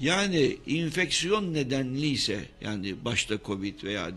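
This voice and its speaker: Very wide pitch swings from a man at a medium pitch, bright and sharp in tone, against a quiet background. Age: 60s. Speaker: professor of medicine. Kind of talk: radio interview. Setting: radio studio.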